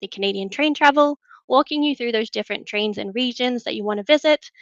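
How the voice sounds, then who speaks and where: Speaking at a very fast pace, a woman with an Australian accent uses a fairly high pitch and ordinary pitch variation in a dry, close recording with no echo. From Australia, Newcastle. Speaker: travel product manager. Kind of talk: webinar presentation.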